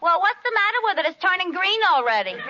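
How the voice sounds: In a put-on character voice, a woman speaks fast at an extremely high pitch, with a bright, sharp tone and big pitch swings.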